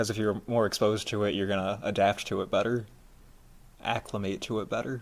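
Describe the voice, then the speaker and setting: Delivered at a fairly quick pace, the speech has monotone, flat intonation and an American accent. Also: man, fairly low pitch for a man. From US Midwest. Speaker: podcast co-host. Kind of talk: casual chat.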